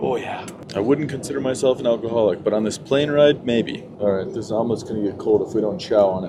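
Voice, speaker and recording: With lively intonation, a man talks very fast while noticeable background noise runs underneath. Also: medium pitch for a man. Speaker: travel vlogger. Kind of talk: travel vlog narration. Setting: on an airplane. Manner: animated.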